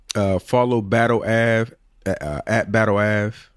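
The recording is very clean with a silent background, and the man's voice sits fairly low. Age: 40s. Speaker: podcast co-host. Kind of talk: casual chat.

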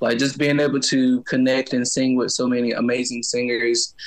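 A man with an American accent talks at a medium pitch and moderate pace, with noticeable background noise behind him. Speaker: singer and music teacher. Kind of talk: interview.

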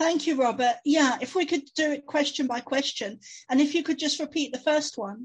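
Speaking with a London accent, a woman uses a high pitch, ordinary pitch variation, and a moderate pace. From London, England. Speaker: psychic medium and author. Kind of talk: interview.

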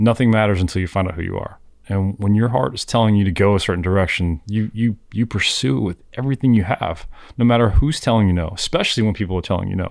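A man with a South Florida accent talks at a very fast pace and a fairly low pitch with ordinary pitch variation, in a very clean recording over a silent background. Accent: South Florida American. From South Florida, Miami. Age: 40s. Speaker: fishing guide. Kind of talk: casual chat.

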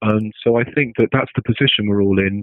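This man has a non-native accent and a medium pitch. He speaks fairly quickly with fairly even intonation. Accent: non-American accent, can't do American. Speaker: philosopher. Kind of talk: interview conversation. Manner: hesitant with many fillers.

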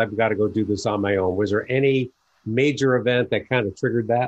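With an American accent, the speaker races along at a very fast pace with fairly even intonation. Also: man. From New York. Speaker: podcast host, business advisor. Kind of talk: interview.

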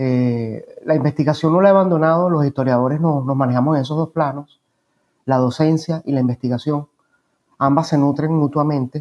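Fairly quick speech with fairly even intonation in a dry, close sound with no echo. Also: man, fairly high pitch for a man. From Venezuela, Caracas area (Los Teques). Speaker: historian and professor. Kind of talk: interview. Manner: halting, repeats words.

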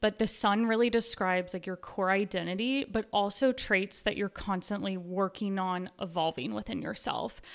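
An ordinary speaking voice in an American accent, with fairly even intonation at a moderate pace, on a very clean recording with a silent background. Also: woman. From US South, Nashville. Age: 20s. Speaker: astrologer. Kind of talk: interview, explaining astrology.

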